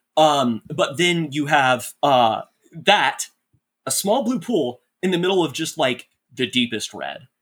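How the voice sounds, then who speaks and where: A man's fairly high voice with lively intonation at a fairly slow pace. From North Texas, Dallas suburb. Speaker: writer. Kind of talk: casual chat. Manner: halting, many fillers.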